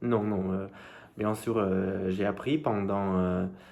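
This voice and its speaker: This voice has a non-native accent and ordinary pitch variation. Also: man. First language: not French (speaking French). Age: 20s. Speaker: language learner vlogger. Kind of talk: casual vlog monologue. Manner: halting, many hesitations.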